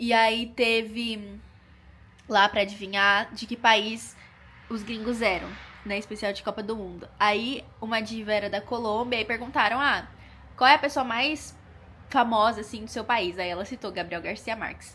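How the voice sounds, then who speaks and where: A woman with a fairly high pitch and a bright, sharp tone speaks at a moderate pace with fairly even intonation and big swings in loudness. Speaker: student vlogger. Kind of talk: casual vlog talk.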